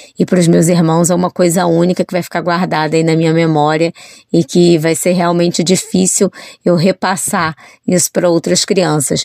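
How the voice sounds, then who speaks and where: A woman's fairly low, monotone voice with flat intonation at a moderate pace, dry and close with no echo. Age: 40s. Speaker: journalist and children's author. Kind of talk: interview.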